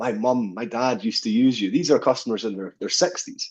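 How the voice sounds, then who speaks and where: Against a quiet background, a man talks at a fairly quick pace with a Scottish accent. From Scottish Highlands, Fort William. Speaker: business owner, plumbing and heating engineer. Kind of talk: interview.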